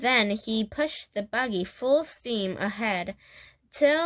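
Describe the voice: The speaker reads aloud. The delivery is plain.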